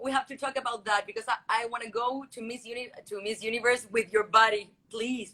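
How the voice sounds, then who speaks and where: A woman's fairly high, bright, sharp voice with a Spanish accent, a fairly quick pace, big swings in loudness, and monotone, flat intonation. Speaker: beauty pageant contestant. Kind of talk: interview.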